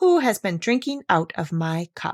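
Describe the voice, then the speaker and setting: Using a put-on character voice, a woman speaks at a moderate pace and medium pitch. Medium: read story.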